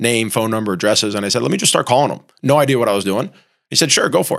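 Speech in an American accent races along at a very fast pace. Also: man. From Miami, Florida. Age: 40s. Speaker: real estate company president. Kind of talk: casual interview. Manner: animated.

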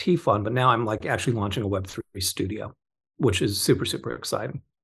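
Over a quiet background, a man with an American accent talks at a fairly quick pace and a medium pitch, somewhat breathy, with ordinary pitch variation. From Southern California (Orange County). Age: 50s. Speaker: crypto investment fund co-founder. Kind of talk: casual interview chat.

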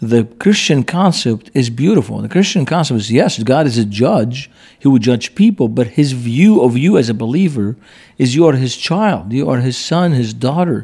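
Using lively intonation, a man with an Arabic accent speaks at a moderate pace and medium pitch in a dark, mellow tone. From Lebanon, Beirut. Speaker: pastor. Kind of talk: interview. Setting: conference.

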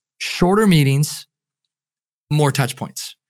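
In a very clean recording with a silent background, a man with an ordinary speaking voice talks at a moderate pace, with a fairly high pitch and ordinary pitch variation. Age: 30s. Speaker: performance coach and keynote speaker. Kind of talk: interview conversation.

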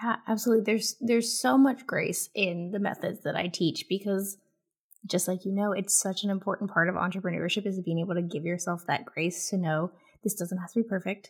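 A woman speaks at a fairly quick pace and medium pitch with ordinary pitch variation. Her voice is somewhat breathy on a very clean recording with a silent background. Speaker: content marketing strategist and author. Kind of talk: casual interview chat.

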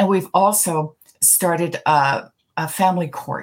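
A woman with a Canadian accent and an unremarkable speaking voice talks in a fairly low pitch with ordinary pitch variation. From Canada, Toronto. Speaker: retired judge. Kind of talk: interview.

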